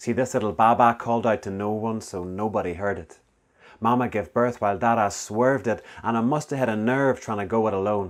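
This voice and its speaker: Someone with a Northern Irish accent talks on a very clean recording with a silent background. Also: man. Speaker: spoken word poet. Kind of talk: spoken word poetry performance.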